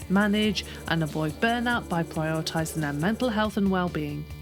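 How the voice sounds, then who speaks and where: Music plays in the background while the speaker talks at a moderate pace with lively intonation. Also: woman. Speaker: podcast host. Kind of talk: podcast intro.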